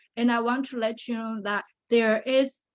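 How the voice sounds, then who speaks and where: A woman with a Chinese accent talks at a fairly slow pace and a fairly high pitch. Her intonation stays fairly even. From China (Shanghai). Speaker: pageant titleholder and survivor advocate. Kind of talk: interview testimony.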